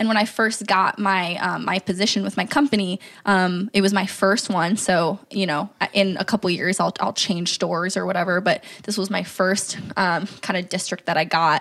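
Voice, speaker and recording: A woman with an ordinary speaking voice talks at a moderate pace and a medium pitch, her intonation fairly even. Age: 20s. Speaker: business manager, podcast guest. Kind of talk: casual chat.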